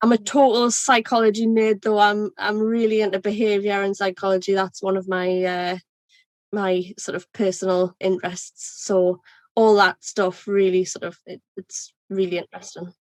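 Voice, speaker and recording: A woman with a Geordie accent at medium pitch, moderate pace and monotone, flat intonation, in a dry, close sound with no echo. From North East England, Northumberland coast. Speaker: ERP consultant. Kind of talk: podcast interview.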